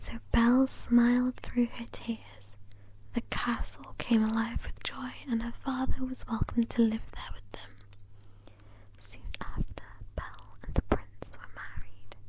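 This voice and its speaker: Someone whispers in a soothing tone at a fairly slow pace. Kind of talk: bedtime story reading. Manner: slow, soothing.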